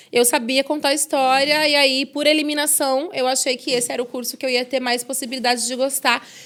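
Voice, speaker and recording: Projecting a raised voice, a woman speaks at a fairly quick pace with a high pitch and a bright, sharp tone. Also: very clean recording, silent background. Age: 30s. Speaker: journalist and podcast host. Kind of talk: interview. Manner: casual, conversational.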